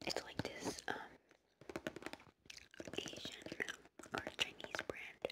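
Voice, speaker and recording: A soft-spoken woman whispers at a very slow pace. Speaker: beauty vlogger. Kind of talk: casual vlog chat. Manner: soft ASMR whisper, chewing gum. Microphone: phone near.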